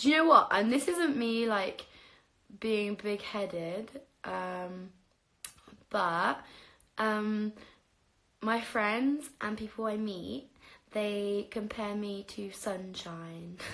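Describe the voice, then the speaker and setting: Her tone is bright and sharp, at a medium pitch for a woman with ordinary pitch variation. She talks at a very slow pace with long, frequent pauses. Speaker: livestreamer. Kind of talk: casual livestream chat.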